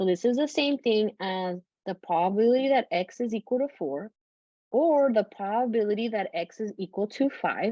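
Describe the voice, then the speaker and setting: Speaking at a moderate pace with a non-native accent, a woman uses a fairly high pitch and lively intonation. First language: not English. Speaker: statistics professor. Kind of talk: lecture. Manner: casual, conversational with fillers.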